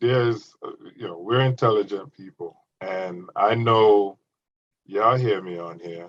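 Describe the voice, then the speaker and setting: The speech moves at a very slow pace with big swings in loudness. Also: man. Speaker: podcast co-host. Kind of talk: casual chat. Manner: gets loud when enthusiastic; animated.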